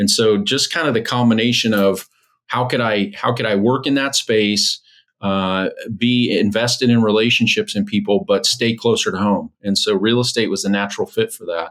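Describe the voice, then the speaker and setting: Moderate pace and ordinary pitch variation from a man with a normal speaking voice and medium pitch. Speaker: real estate agent and coach. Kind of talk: podcast interview answer.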